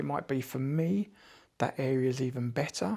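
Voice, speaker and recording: A man with a British accent at a moderate pace, on a very clean recording with a silent background. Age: 50s. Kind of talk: casual talk to camera.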